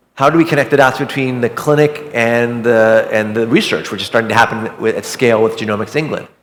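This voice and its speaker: Rushing along very fast with hardly any pauses, a man of medium pitch keeps a fairly even intonation. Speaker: physician-scientist keynote speaker. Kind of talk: keynote talk.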